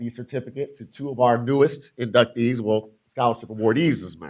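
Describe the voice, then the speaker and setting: With an American accent, a man talks at a fairly quick pace with ordinary pitch variation. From US Midwest, Illinois. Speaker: scholarship recruiter. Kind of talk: formal presentation at a board meeting. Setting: school board meeting.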